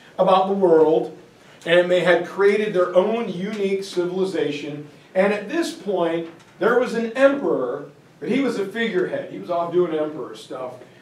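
With audible room echo, a man talks at a moderate pace using lively intonation. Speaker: teacher giving lecture. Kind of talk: lecture. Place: classroom. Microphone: camera far.

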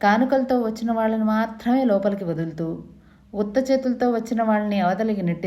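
Someone reads in a natural voice. The pitch moves up and down in an ordinary way.

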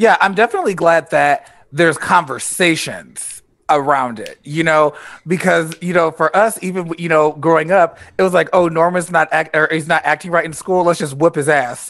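Moderately paced male speech over a quiet background. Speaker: author. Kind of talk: casual chat. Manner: expressive, uses pet names. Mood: reflective, relaxed. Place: home room. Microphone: headset.

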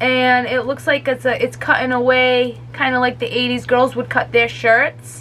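Her tone is upbeat and excited as a woman speaks at a moderate pace. Light background noise sits behind her. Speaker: YouTuber. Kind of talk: casual talk to camera. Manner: upbeat, excited. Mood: excited, delighted. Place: home room. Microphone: phone near.

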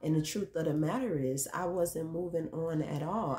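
A woman speaks at a moderate pace in a somewhat breathy, dark, mellow tone with fairly even intonation. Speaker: vlogger. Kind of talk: casual vlog monologue. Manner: rambling, filler words. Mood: reflective, candid about hurt. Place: home room. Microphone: phone near.

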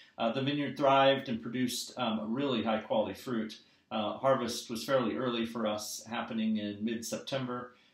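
With audible room echo, a man of medium pitch talks at a moderate pace with fairly even intonation.

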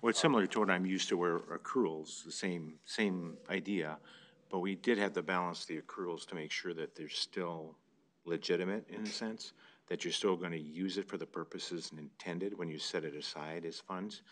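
With an American accent, a man speaks at a moderate pace in a very deep, low pitch with fairly even intonation. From US Midwest. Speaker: city council member; council member or city official. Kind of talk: council meeting discussion. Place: meeting room.

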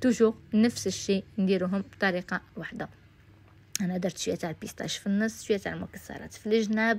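The speech moves at a fairly quick pace in a monotone, flat intonation. The voice is somewhat breathy. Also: woman, medium pitch for a woman. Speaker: cooking youtuber. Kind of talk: cooking tutorial. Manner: casual.

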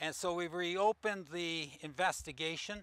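Talking at a fairly slow pace, a man with a high pitch has a clear, smooth, fairly bright tone and ordinary pitch variation.

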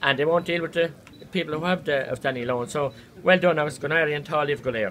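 Over light background noise, a man talks at a very fast pace. His pitch is fairly high. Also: ordinary pitch variation. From Ireland. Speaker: politician. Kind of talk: speech to a protest crowd. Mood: earnest, indignant. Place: hall. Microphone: phone near.

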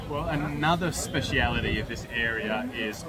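A man speaks with clear music in the background. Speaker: travel vlogger. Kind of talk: casual vlog chat. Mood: amused, slightly wary. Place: cafe. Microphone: phone near.

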